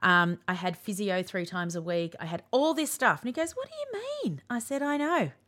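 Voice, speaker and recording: With an Australian accent, a woman speaks at a medium pitch and a fairly quick pace, her bright, sharp tone swinging very widely in pitch with hardly any pauses. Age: 40s. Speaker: podcast host. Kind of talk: casual chat.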